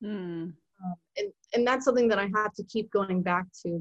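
A woman with an American accent has a plain, everyday voice at medium pitch. She talks at a moderate pace with lively intonation. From Virginia (Mechanicsville, Hanover County). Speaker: student writer. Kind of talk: casual interview chat.

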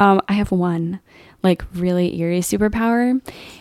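A woman's dark, mellow voice at a medium pitch, with fairly even intonation, a moderate pace and a dry, close sound with no echo. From Northern Virginia, US. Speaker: podcast co-host, PhD student in oceanography. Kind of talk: casual chat.

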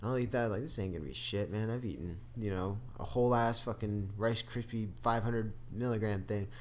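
An ordinary speaking voice belongs to this man, who talks at a moderate pace in a fairly low pitch with ordinary pitch variation and hardly any pauses. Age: 20s. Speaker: podcast co-host, college student. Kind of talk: casual chat. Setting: studio.

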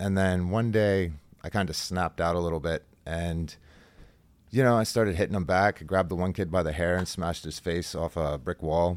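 At a fairly quick pace, a man talks in a very deep, low pitch with fairly even intonation, captured in a very clean recording against a silent background. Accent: American. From Central Pennsylvania. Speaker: jiu-jitsu athlete. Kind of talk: interview.

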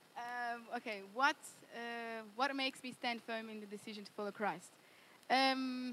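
A woman with an Australian accent has a high pitch, a bright, sharp tone and fairly even intonation. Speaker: Bible college student. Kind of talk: interview testimony. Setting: church.

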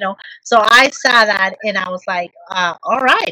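This woman's voice has ordinary pitch variation. The sound is dry and close, with no echo. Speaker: podcast co-host interviewer. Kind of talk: interview. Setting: video call.

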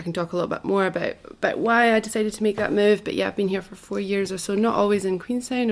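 A woman speaks with a Scottish accent at a medium pitch. Her intonation is fairly even, and there is noticeable background noise. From Scotland. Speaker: musician, former primary school teacher. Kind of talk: casual interview.

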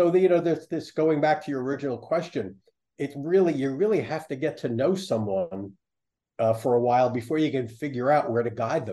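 Fairly high in pitch, a man's dark, mellow voice moves at a fairly quick pace with lively intonation. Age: 70s. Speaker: psychologist and professor. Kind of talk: interview.

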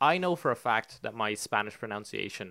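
A man talks at a moderate pace with an Irish accent and a bright, sharp tone. The recording is very clean, with a silent background. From Ireland, County Meath; lived in Spain. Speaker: podcast co-host.

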